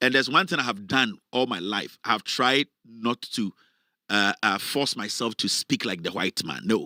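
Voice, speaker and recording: On a very clean recording with a silent background and a dry, close sound with no echo, a man speaks at a moderate pace with a bright, sharp tone, fairly low pitch, and lively intonation. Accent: Ghanaian. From Ghana. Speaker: political commentator, online show host. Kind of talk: live political commentary. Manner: animated.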